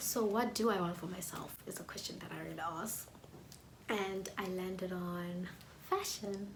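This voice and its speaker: At a moderate pace, a woman speaks in a monotone, flat way. Both room echo and background noise are noticeable. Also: medium pitch for a woman. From South Africa, KwaZulu-Natal township. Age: 20s. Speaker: YouTuber, music student. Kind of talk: casual vlog talk to camera.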